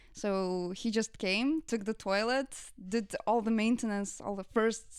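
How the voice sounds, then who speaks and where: A woman with a Lithuanian accent, fairly high in pitch and fairly slow, on a very clean recording with a silent background. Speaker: content creator. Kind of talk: casual interview.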